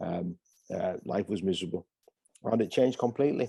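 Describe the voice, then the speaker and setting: With a northeast English accent, the speaker talks at a fairly quick pace in a dark, mellow tone. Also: man. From northeast England, Hartlepool, County Durham. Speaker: pastor. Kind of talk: interview. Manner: hesitant, many fillers.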